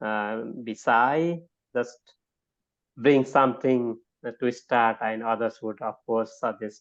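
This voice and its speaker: Speaking at a very slow pace with long, frequent pauses, a man with a non-native accent keeps a medium pitch and a fairly even intonation. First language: not English. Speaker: academic guest speaker. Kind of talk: online talk. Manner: halting.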